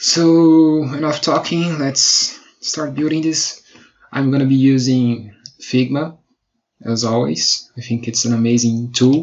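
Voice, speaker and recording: With a Brazilian Portuguese accent, a man speaks very slowly at medium pitch with ordinary pitch variation. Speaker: web designer. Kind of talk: tutorial. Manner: halting.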